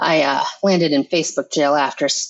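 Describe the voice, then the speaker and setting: At a moderate pace, a woman speaks with a very deep, low pitch and fairly even intonation. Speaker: romance author. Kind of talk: interview. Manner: mumbling.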